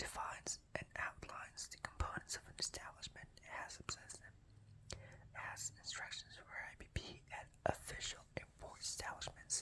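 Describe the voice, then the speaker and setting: A man whispers at a moderate pace. His loudness swings a lot. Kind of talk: ASMR reading of a work directive. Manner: whispered.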